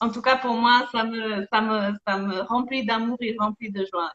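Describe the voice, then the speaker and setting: A woman talks in a fairly high-pitched voice. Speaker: energy healer and life coach. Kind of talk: interview conversation. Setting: live video stream. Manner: hesitant, many fillers.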